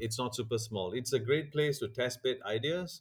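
A somewhat breathy male voice of medium pitch with ordinary pitch variation, at a moderate pace on a very clean recording with a silent background. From Singapore. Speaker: business development director promoting 3D printing industry. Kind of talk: casual interview.

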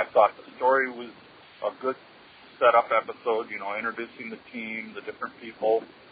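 A man speaks in a flat, monotone way at a medium pitch, with an American accent. There is noticeable background noise. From US Midwest, Wisconsin. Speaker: listener caller. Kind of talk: voicemail. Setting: phone call.

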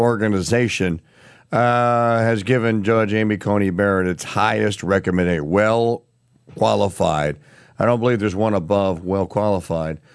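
With a normal speaking voice, a man talks at a moderate pace in a fairly low pitch against a quiet background. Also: very even loudness. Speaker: radio news host. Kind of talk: news commentary.

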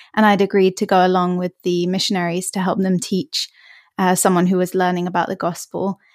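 In an English accent, a woman of medium pitch speaks at a moderate pace with monotone, flat intonation, the sound dry and close with no echo on a very clean recording with a silent background. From England, Hertfordshire, just north of London. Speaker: church member guest. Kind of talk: casual chat.

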